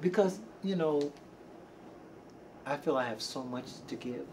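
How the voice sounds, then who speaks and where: Noticeable background noise sits behind a man with a fairly high pitch. He talks at a fairly slow pace with lively intonation and long, frequent pauses. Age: 60s. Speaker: R&B singer and backup vocalist. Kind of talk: interview.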